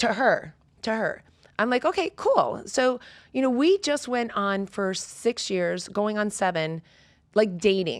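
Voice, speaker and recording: A woman with an unremarkable speaking voice talks at a fairly slow pace. Her pitch is fairly high and her intonation lively. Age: 50s. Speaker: fitness coach. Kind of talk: casual chat.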